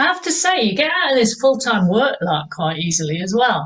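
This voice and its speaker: In an English accent, a woman speaks at a moderate pace with a somewhat breathy voice. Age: 60s. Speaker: fitness instructor. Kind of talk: exercise class instruction. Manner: encouraging, energetic.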